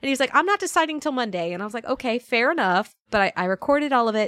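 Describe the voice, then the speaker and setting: Her pitch swings very widely as a woman talks with an American accent. The sound is dry and close, with no echo. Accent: Southern US, latent. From Northern Virginia, US. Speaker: voice actress. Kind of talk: casual chat. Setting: remote recording over Discord.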